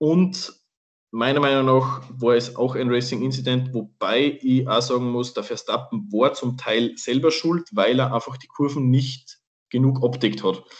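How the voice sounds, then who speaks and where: Speaking at a fairly slow pace with a slight Austrian accent, this man has a medium pitch and ordinary pitch variation. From Austria, Salzburg. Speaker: podcast co-host, Formula 1 fan. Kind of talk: casual chat.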